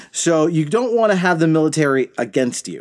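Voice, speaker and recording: A man's normal speaking voice with lively intonation and a fairly quick pace, on a very clean recording with a silent background. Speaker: podcast co-host. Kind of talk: casual chat. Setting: recording in a closet at home.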